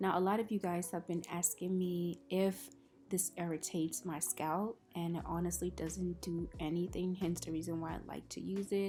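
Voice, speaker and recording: Music plays in the background as a soft-spoken woman talks. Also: moderate pace. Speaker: beauty youtuber. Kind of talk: tutorial voiceover. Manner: casual, filler-heavy.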